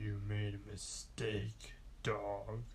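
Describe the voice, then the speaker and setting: Man in a put-on character voice amid clear background noise. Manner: menacing.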